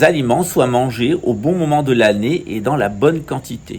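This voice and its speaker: A man speaks at a moderate pace with lively intonation and a fairly high pitch. Noticeable background noise runs behind him. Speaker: channel host, naturopathy speaker. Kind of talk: monologue talk.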